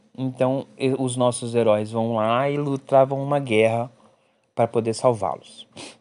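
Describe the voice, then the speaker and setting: Monotone, flat intonation comes with a Brazilian accent. The background is quiet. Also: man, medium pitch for a man, fairly slow pace. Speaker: podcast host reviewing films and series. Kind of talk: casual solo review podcast. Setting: at mother's house in the countryside.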